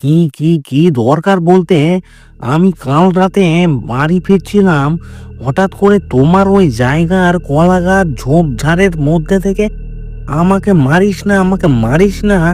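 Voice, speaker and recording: A man puts on a cartoonish character voice, pitched high and delivered at a fairly slow pace over music in the background. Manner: stammering when scared.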